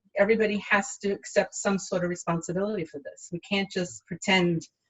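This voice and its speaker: Talking at a very fast pace, a woman sounds somewhat breathy, her intonation fairly even. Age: 60s. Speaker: healthcare worker. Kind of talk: interview. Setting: livestream.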